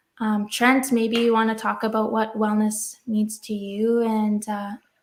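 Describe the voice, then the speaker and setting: A woman speaks fairly slowly at a fairly high pitch, somewhat breathy and with monotone, flat intonation. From Saskatchewan, Canada. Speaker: podcast host. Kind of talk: podcast conversation.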